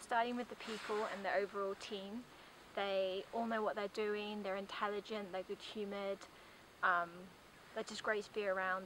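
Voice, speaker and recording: A woman at medium pitch and a fairly quick pace, with monotone, flat intonation, in a dry sound with no echo and noticeable background noise. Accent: British. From UK. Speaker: tourist giving a testimonial; guest. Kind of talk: testimonial. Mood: warm, positive. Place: open country. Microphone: camera far.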